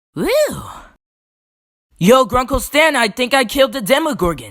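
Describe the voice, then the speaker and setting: A put-on character voice with a fairly high pitch. It moves at a moderate pace. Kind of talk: crude comic parody dubbing. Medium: fan dub. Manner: goofy, excitable.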